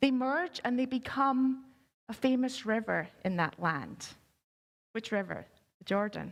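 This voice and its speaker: Speaking at a fairly slow pace, a woman with a Scottish accent uses a high pitch and lively intonation. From Scotland. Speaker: pastor. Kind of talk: sermon.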